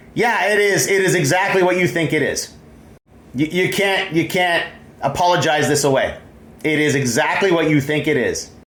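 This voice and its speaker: A man's high-pitched voice at a moderate pace, very even in loudness with ordinary pitch variation, plus audible room echo and noticeable background noise. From Canada, Ontario. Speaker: vlogger. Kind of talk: video commentary. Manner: halting.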